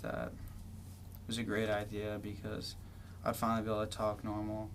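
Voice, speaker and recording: A man's fairly low, flat monotone with an American accent, moderate pace, and noticeable background noise. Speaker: university student. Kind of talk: personal story interview. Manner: hesitant, many filler words.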